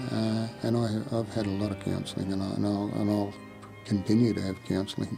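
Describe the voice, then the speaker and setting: With music in the background, a man speaks quietly in an Australian accent at a moderate pace, with fairly low pitch and fairly even intonation. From South Burnett, Queensland, Australia. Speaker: Vietnam War veteran. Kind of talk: personal life story interview. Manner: quietly spoken.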